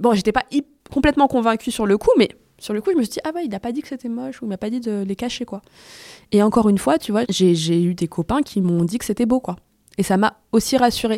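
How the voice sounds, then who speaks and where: Speaking at a very fast pace, a woman uses a fairly high pitch, a dark, mellow tone, and lively intonation, captured dry and close with no echo on a very clean recording with a silent background. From Paris, of Tunisian descent. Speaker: podcast creator. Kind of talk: interview. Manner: halting, many fillers.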